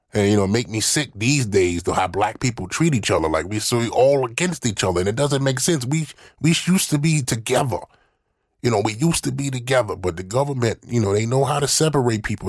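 Very clean recording, silent background, and a man at medium pitch speaking at a very fast pace. His voice is somewhat breathy, with lively intonation. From US South, Mississippi. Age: old. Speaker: podcast guest. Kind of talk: casual chat.

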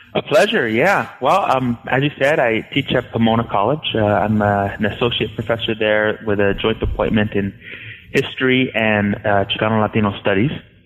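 With an American accent, a man talks at a moderate pace and medium pitch, his loudness very even and his pitch varying in an ordinary way, over noticeable background noise. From Southern California, Los Angeles. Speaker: history professor. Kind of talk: interview. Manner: halting, many fillers and repetitions.

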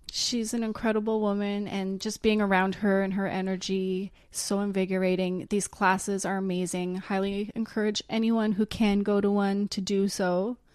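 A woman with a Canadian accent talks at a moderate pace with hardly any pauses. Her medium-pitched voice stays monotone and flat. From Canada. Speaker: podcast co-host. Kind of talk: casual interview. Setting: in person.

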